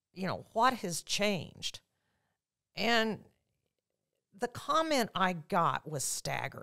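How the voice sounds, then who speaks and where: Against a quiet background, a woman with an American accent speaks at a very slow pace. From central Illinois, Sullivan; Illinois. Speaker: political candidate; candidate. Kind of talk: interview. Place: studio. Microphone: studio mic.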